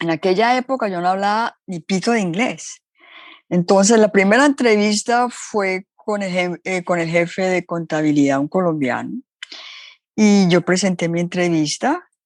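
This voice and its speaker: A woman speaks in an ordinary speaking voice at a fairly slow pace, with ordinary pitch variation. The sound is dry and close, with no echo. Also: medium pitch for a woman. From Colombia. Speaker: entrepreneur. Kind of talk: interview storytelling.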